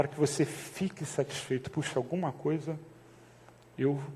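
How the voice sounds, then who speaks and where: A man speaks in a soft-spoken way. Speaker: pastor. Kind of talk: sermon. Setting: church. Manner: speaking softly to prompt the congregation; casual, conversational.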